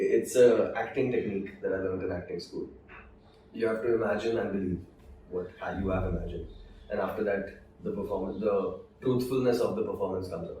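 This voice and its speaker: A man talking at a fairly quick pace, broken by long, frequent pauses. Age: young. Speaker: voice actor. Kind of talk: interview answer.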